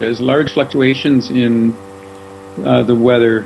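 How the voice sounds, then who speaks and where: A man is speaking, with noticeable noise in the background. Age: 60s. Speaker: local resident interviewed about climate change. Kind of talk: interview testimony. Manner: casual, with frequent filler words.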